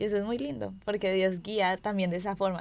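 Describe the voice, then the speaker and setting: A woman with a normal speaking voice, medium pitch, fairly even intonation and a fairly quick pace. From Colombia, Pereira. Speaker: student podcast host. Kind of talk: podcast conversation.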